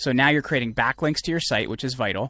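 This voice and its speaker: Recorded very cleanly against a silent background, a man's medium-pitched voice comes through with fairly even intonation and a dry, close sound with no echo. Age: 30s. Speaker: entrepreneur and PR agency founder. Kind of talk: casual interview chat.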